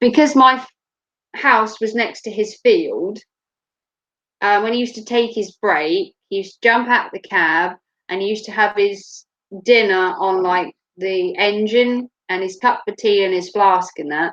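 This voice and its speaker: A woman with a Norfolk accent talks at a moderate pace in a fairly high pitch, with ordinary pitch variation and big swings in loudness. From Norfolk, England. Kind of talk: casual, rural lilt.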